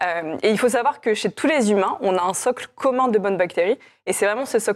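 In a normal speaking voice, a woman talks at a fairly quick pace with a fairly high pitch and ordinary pitch variation. The recording is very clean, with a silent background. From France, Chinon (Indre-et-Loire). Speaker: company co-founder. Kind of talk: interview.

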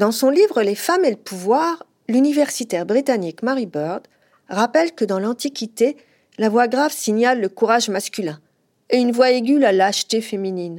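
On a very clean recording with a silent background, a woman speaks at a moderate pace with a fairly high pitch and lively intonation. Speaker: podcast host and journalist. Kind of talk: scripted narration.

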